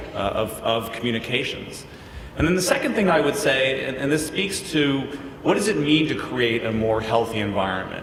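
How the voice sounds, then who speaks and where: With an American accent, a man speaks at a moderate pace with ordinary pitch variation, audible room echo and noticeable background noise. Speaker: criminal justice reform expert, panellist. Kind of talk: panel discussion.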